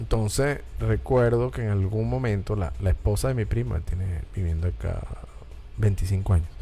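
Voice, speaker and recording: With music in the background and audible room echo, a man with a very deep, low voice and a Caracas Venezuelan accent speaks at a moderate pace in an animated tone, his pitch swinging very widely. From Venezuela, Caracas. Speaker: talk show host. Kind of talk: casual chat.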